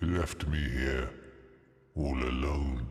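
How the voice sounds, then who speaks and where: With a clear echo around him, a man uses a put-on character voice at a very deep, low pitch. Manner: eerie, ominous.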